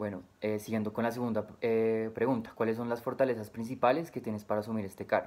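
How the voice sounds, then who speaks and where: Hardly pausing, the man rattles on at a very fast pace in a monotone, flat intonation. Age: 20s. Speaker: job applicant. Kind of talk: recorded job interview answers. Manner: hesitant, frequent filler 'eh'. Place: home room. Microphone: webcam.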